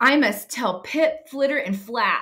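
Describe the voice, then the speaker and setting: A woman uses a put-on character voice, pitched high and delivered at a fairly slow pace. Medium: read story. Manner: earnest.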